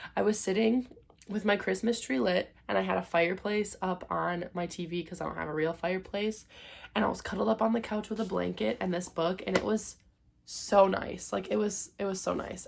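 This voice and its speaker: Medium pitch and ordinary variation in pitch from a woman, with noticeable noise in the background. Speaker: book youtuber. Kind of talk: casual vlog review. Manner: casual, filler-heavy.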